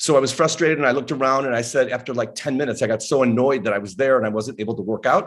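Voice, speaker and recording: A man with an ordinary speaking voice, medium pitch and ordinary pitch variation against a quiet background. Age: 60s. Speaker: author and former personal trainer. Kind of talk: podcast interview. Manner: conversational storytelling.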